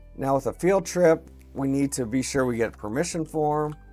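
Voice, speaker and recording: Music plays in the background. A man is speaking. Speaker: educational technology tutor. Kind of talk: screen-recorded software tutorial.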